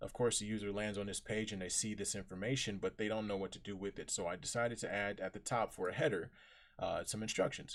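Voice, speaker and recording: On a very clean recording with a silent background, a man with an American accent and a fairly low pitch talks at a fairly quick pace. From US Midwest, Chicago. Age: 20s. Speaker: coding bootcamp student presenting project. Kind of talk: project presentation / software demo. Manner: scripted intro reading; hesitant with fillers.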